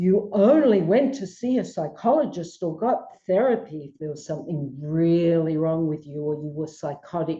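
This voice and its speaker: In an Australian accent, a woman speaks at a moderate pace with a fairly low pitch. Her tone is dark and mellow, and her intonation is lively. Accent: Australian, persistent. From Australia, Melbourne. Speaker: psychologist. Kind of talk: radio interview.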